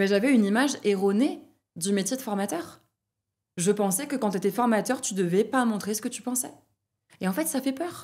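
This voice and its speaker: A woman speaks with lively intonation at a fairly high pitch. Her speech has long, frequent pauses. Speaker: trainer of trainers. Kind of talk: podcast interview. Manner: fast; loud.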